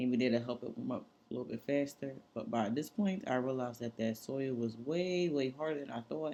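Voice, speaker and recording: The speech flows with hardly any pauses and ordinary pitch variation. Its tone is dark and mellow. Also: woman, very deep, low pitch for a woman, moderate pace. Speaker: home gardening vlogger. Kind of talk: casual vlog narration. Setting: at home. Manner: soft-spoken, not loud.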